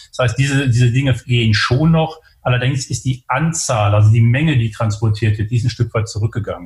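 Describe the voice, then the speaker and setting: A man talks at a fairly quick pace in a somewhat breathy, medium-pitched voice with ordinary pitch variation. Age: 50s. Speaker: logistics company executive. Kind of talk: interview. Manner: halting, many filler sounds.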